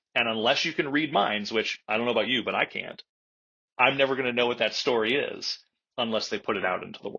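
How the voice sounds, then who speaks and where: A man at a medium pitch talks at a very fast pace. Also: ordinary pitch variation. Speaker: comic book writer. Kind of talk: interview. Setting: podcast interview. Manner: loud.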